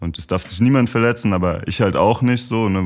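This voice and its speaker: A man's unremarkable speaking voice at a fairly quick pace, with ordinary pitch variation. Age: 30s. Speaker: professional footballer. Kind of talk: casual chat.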